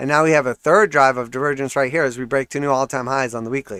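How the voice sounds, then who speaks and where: The voice shows ordinary pitch variation, with a dry, close sound with no echo on a very clean recording with a silent background. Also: man. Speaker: crypto trading livestreamer. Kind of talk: live market analysis stream. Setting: livestream. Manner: casual, conversational.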